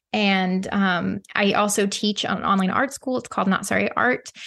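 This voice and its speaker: Against a quiet background, a woman at medium pitch uses an unremarkable speaking voice with fairly even intonation. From US Midwest (Ozarks). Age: 30s. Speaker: painter. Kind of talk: casual interview chat.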